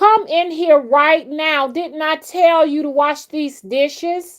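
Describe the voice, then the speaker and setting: Fairly slow delivery in a put-on character voice. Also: female-sounding voice, high pitch for a woman. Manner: scolding.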